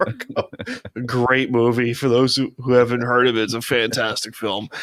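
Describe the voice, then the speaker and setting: With an American accent, a man talks at a moderate pace and medium pitch. His intonation stays monotone and flat. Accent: slight Long Island accent, occasional. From Long Island, New York. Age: 20s. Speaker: podcast host. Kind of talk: casual interview chat.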